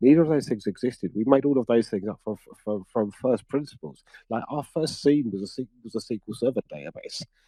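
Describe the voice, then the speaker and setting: With a British accent and a dark, mellow tone, a man at medium pitch speaks at a very fast pace with lively intonation, in a dry, close sound with no echo. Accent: UK. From UK. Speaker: cybersecurity practitioner. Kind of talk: conference interview chat. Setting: conference couch interview.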